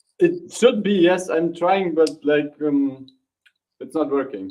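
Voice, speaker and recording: Speaking with a non-native accent, a man talks at a fairly slow pace. His pitch varies in an ordinary way. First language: not English. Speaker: crypto community member, sticker promoter. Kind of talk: casual chat.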